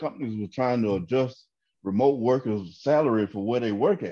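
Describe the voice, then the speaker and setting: A man in a Southern US accent, medium-pitched with a dark, mellow tone, ordinary pitch variation and a fairly quick pace, in a quiet background. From Georgia, US South. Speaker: comedian. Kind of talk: casual chat. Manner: animated.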